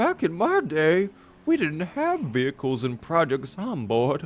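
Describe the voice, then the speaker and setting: A man's strained, put-on character voice, fairly high in pitch, at a fairly slow pace and very even loudness. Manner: reminiscing.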